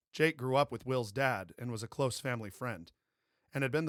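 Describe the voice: Over a quiet background, this is plain reading aloud.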